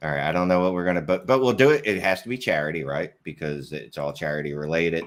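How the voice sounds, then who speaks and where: Very deep, low pitch from a man with a Philadelphia accent, lively intonation, a very fast pace and hardly any pauses. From Philadelphia area, US. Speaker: fantasy football podcaster. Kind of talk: casual chat. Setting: live stream.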